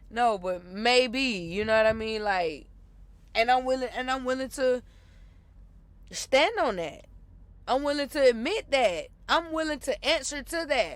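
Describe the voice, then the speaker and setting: Loud and animated, with a passionate tone and lively intonation, the voice moves at a fairly slow pace with long, frequent pauses on a very clean recording with a silent background. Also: woman, high pitch for a woman. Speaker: podcast host. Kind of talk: casual monologue rant. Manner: animated, passionate.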